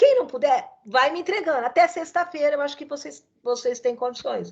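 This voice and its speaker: Lively intonation in a woman's high-pitched voice. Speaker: law professor. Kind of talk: online lecture. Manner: fast.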